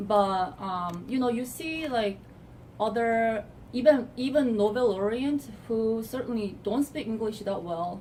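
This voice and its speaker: With a Korean accent, a woman speaks at a moderate pace and fairly high pitch, her dark, mellow tone somewhat breathy and her pitch variation ordinary. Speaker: assistant professor. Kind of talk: interview. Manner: halting.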